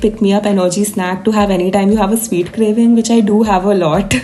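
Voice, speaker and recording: Speaking fairly quickly at a medium pitch, a woman uses a playful tone over noticeable background noise. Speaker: food vlogger. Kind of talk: voiceover narration for cooking vlog. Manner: sing-songy.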